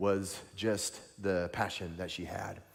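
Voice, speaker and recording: Animated in tone, a man speaks with a Southern US accent. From US South, Tennessee. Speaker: evangelist preacher. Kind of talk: sermon.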